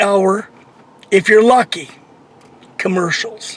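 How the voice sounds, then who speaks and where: A man talks at a moderate pace in a high pitch with ordinary pitch variation over noticeable background noise. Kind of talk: unscripted rant to camera. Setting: in a car. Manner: irritated, complaining.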